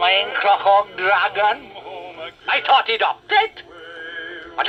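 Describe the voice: The clip is a plain reading aloud. Nothing else stands out.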